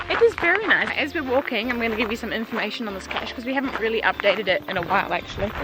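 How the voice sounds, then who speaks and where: Talking very fast with hardly any pauses, a woman shows ordinary pitch variation. Noticeable background noise sits behind her. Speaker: geocaching vlogger. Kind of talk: casual talk to camera.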